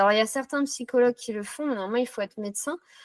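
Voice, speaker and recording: The recording is very clean, with a silent background and a dry, close sound with no echo. A woman speaks with ordinary pitch variation. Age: 30s. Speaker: psychotherapy practitioner. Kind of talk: interview. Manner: hesitant with frequent fillers.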